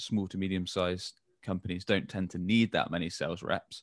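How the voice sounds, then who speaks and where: A man with a British accent and a very deep, low pitch, fairly quick and fairly even in intonation, on a very clean recording with a silent background and a dry, close sound with no echo. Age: 30s. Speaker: agency co-founder and sales director. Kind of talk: interview.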